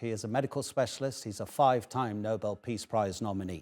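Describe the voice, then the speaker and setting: A man's normal speaking voice at a moderate pace, with lively intonation and a dry, close sound with no echo on a very clean recording with a silent background. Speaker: news anchor. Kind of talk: TV news interview question.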